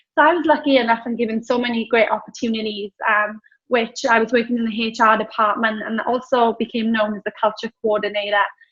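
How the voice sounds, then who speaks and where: A woman with a Welsh accent talks at a fairly high pitch with fairly even intonation. Her pace is very fast, with hardly any pauses. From Wales. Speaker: business founder. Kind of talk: interview.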